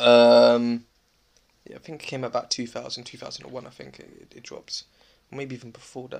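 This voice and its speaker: The speaker has a London accent. The pace is moderate. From South London. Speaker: eyewear entrepreneur. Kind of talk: casual interview.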